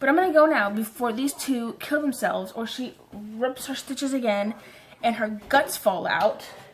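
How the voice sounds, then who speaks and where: The tone is animated and the intonation lively. Background noise is noticeable. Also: woman. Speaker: vlogger. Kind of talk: story time vlog. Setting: bedroom. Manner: fast.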